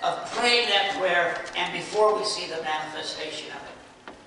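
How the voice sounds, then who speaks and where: Raising and projecting his voice, a man speaks at a moderate pace with ordinary pitch variation, amid strong room echo and light background noise. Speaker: preacher. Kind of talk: sermon. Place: church. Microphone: camera far.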